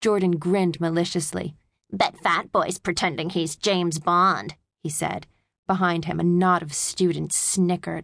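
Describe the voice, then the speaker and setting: Animated and theatrical in tone, a woman with a fairly low pitch speaks at a moderate pace over a quiet background. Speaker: audiobook narrator. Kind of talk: dramatic audiobook narration of a children's spy adventure, with character voices. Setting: studio. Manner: animated, theatrical, switching to gruff taunting bully tones for dialogue; hushed, tense, stealthy pacing in the mouse spy scenes.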